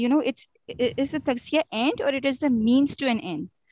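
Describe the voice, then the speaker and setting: A woman's voice with ordinary pitch variation comes through with a dry, close sound and no echo. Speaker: audience member asking a question. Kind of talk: question in a live online session. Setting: video call.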